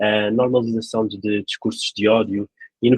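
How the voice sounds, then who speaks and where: Keeping a moderate pace and fairly even intonation, a man talks at a medium pitch. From Portugal, Lisbon. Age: 30s. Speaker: local election candidate. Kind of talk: interview. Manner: hesitant, many fillers.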